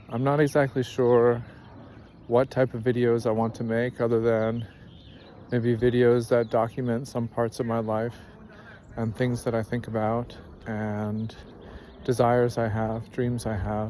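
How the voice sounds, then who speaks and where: Speaking in an American accent at a fairly slow pace, the voice keeps a monotone, flat intonation with long, frequent pauses. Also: man, medium pitch for a man. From California, San Francisco Bay Area. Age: 30s. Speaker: vlogger. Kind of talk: personal introduction monologue. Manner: halting.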